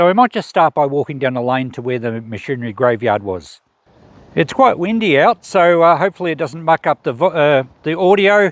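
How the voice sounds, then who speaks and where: Speaking at a moderate pace, a man uses lively intonation and a high pitch. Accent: Australian. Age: 60s. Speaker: YouTuber. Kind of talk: casual vlog narration. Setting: outdoors.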